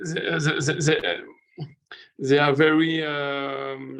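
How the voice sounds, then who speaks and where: A man with a French accent. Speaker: local coworking manager. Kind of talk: online panel presentation. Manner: halting.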